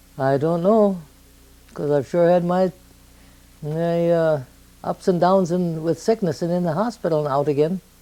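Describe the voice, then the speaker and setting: The voice has an Upper Midwest accent and a dark, mellow tone at a moderate pace. Pitch variation is ordinary, and long pauses come often. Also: woman, fairly low pitch for a woman. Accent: Upper Midwest American. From southern Minnesota. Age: 90s. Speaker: elderly interviewee. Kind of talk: oral history interview.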